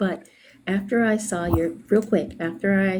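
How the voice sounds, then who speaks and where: Noticeable background noise sits behind the speech. A woman talks quietly with ordinary pitch variation. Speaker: small business owner. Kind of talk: casual chat. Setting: video call from a doctor's appointment. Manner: speaking quietly.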